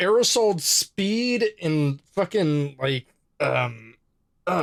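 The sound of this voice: The voice is an unforced reading voice with lively intonation. The background is quiet.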